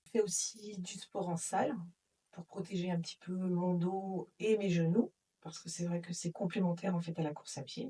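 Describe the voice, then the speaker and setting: Her voice is somewhat breathy, with a dark, mellow tone and medium pitch. The woman keeps a moderate pace and fairly even intonation. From Brittany, north Finistère, France. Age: 40s. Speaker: insurance claims manager at a transport company. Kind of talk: interview testimony.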